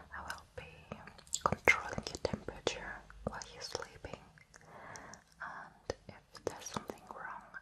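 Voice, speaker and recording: Whispering, a soft-spoken woman talks at a fairly slow pace in a soothing tone. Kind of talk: soft-spoken role-play. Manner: soft, soothing near-whisper. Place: home room. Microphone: studio mic.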